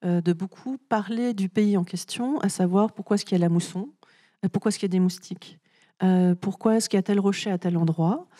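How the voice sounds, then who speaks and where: A woman at a medium pitch and moderate pace, in a dry, close sound with no echo on a very clean recording with a silent background. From France. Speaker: author. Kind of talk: literary talk with audience. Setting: festival stage with audience. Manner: frequent hesitations (euh).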